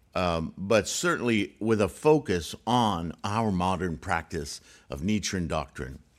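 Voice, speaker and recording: With vocal fry and lively intonation, a man speaks at a fairly slow pace in a very deep, low voice. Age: 60s. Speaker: Buddhist teacher. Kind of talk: lecture. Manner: halting.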